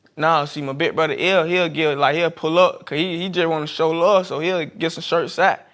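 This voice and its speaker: A man with a Southern US accent, high-pitched, fairly quick and with hardly any pauses, in a monotone, flat delivery against a quiet background. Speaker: street water vendor. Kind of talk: casual chat.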